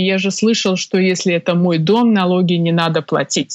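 This is a woman speaking. Her pace is fairly slow. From Belarus, Minsk. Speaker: tax lawyer. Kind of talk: interview. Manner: hesitant, many fillers.

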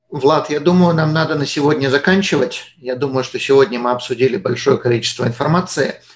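An unremarkable speaking voice from a man, fairly high in pitch, with ordinary pitch variation, a fairly quick pace and hardly any pauses. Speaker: podcast host. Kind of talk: interview. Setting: studio.

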